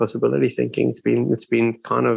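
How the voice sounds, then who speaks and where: A man talks at a very fast pace. His pitch sits at a medium level. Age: 70s. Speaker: neuroscientist and author. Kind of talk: interview. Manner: halting, many repetitions.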